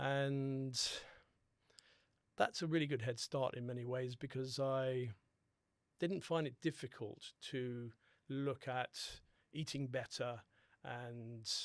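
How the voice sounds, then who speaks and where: A man with a British accent speaks at a very slow pace in a medium pitch, with fairly even intonation and long, frequent pauses. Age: 60s. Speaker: holistic dentist. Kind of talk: podcast interview.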